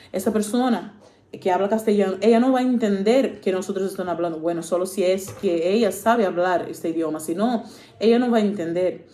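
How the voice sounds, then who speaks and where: A woman speaks at a fairly quick pace with a medium pitch. Audible room echo surrounds her voice. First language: Portuguese (speaking Spanish). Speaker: preacher. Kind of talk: sermon. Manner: halting, many fillers.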